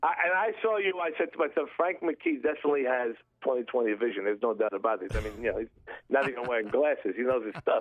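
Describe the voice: With few pauses, a man talks fast at a medium pitch with ordinary pitch variation.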